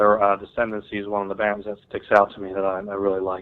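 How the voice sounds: A man with an American accent talks fast in a fairly low pitch. His tone is clear and smooth, with monotone, flat intonation.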